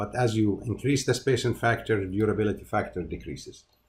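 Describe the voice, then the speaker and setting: With fairly even intonation and a somewhat breathy voice, a man speaks at a moderate pace amid audible room echo. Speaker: university lecturer. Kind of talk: lecture. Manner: halting, many fillers and repeats.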